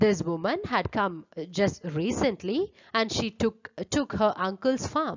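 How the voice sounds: The voice reads naturally, and its intonation is lively.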